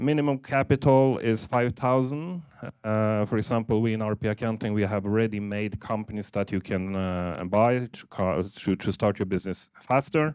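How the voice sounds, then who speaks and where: Against a quiet background, the speaker talks in a Norwegian accent with hardly any pauses. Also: man, fairly low pitch for a man, ordinary pitch variation, moderate pace. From Norway, Polish-born. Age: 50s. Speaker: accounting firm CEO. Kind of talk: seminar presentation.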